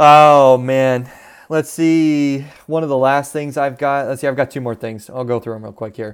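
Speaking with an American accent, a man with a fairly high pitch moves at a moderate pace, with big swings in loudness. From US Southwest. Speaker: off-road podcast co-host. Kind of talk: casual chat. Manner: animated.

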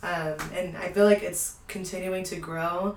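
A woman with an American accent speaks at a fairly slow pace and a fairly low pitch. Noticeable background noise and audible room echo surround her voice. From Houston, Texas. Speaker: medical student. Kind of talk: casual chat.

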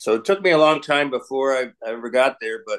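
A man speaks fast at a medium pitch, using lively intonation and a fairly bright tone.

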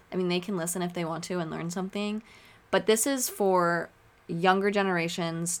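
A woman's fairly low voice with a West Coast accent and fairly even intonation. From Oregon. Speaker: podcast host, student. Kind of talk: solo podcast monologue. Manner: casual, laughing often.

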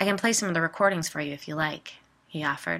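A woman's fairly low voice with vocal fry, a bright, sharp tone and fairly even intonation, on a very clean recording with a silent background. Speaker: podcast host and storyteller. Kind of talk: scripted narration of ghost stories.

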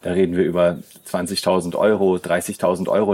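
Monotone, flat intonation marks a man's very deep, low-pitched voice. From southern Germany, near Schaffhausen on the Swiss border. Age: 30s. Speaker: youth worker. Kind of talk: interview conversation. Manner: halting, many fillers.

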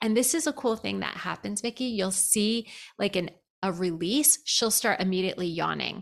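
A woman talks at a moderate pace and medium pitch with lively intonation. Vocal fry creeps into her voice. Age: 50s. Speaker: therapist. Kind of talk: casual chat.

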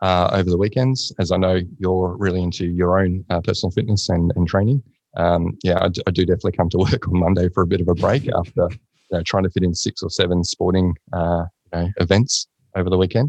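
A man's very fast speech in an Australian accent, very deep and low in pitch with fairly even intonation, dry and close with no echo against a quiet background. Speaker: workplace mental health consultant. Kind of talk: casual chat.

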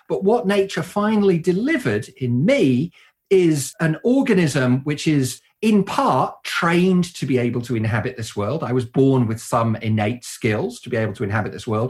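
Somewhat breathy, a man with a British accent speaks at a medium pitch with very wide pitch swings. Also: moderate pace. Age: 50s. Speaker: computer science professor. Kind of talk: interview.

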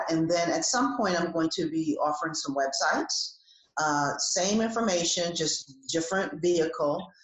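With an American accent and a fairly low pitch, a woman talks at a moderate pace with ordinary pitch variation and very even loudness over noticeable background noise. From New Jersey. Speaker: executive coach. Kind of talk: interview.

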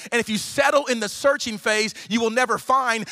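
An animated tone and lively intonation in a raised, projected voice with an American accent, over noticeable background noise. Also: man. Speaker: pastor. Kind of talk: energetic guest sermon to a live megachurch congregation. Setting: church stage with live audience. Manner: very fast, rapid-fire preaching; animated, rising exhortation with repetitive punchy phrasing.

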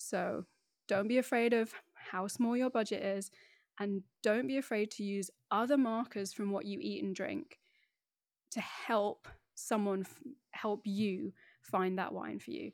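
Over a very clean recording with a silent background, a woman of medium pitch speaks at a fairly slow pace with long, frequent pauses and ordinary pitch variation. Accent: British. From northeast England, Middlesbrough. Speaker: wine educator. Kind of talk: interview. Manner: animated, laughs often.

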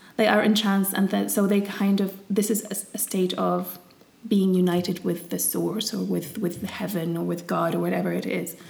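A woman talks at a moderate pace. There is noticeable background noise behind her. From Syria. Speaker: podcast co-host, English teacher. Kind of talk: casual chat.

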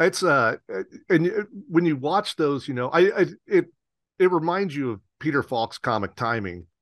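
A man speaks at a moderate pace, leaving long, frequent pauses. His voice is fairly high-pitched with lively intonation. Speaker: podcast host. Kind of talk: interview, scripted intro.

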